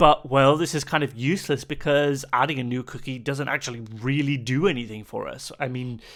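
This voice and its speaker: A plain, everyday voice from a man, fairly high in pitch, fairly quick with hardly any pauses and fairly even intonation, on a very clean recording with a silent background. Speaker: security researcher. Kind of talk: technical explainer narration.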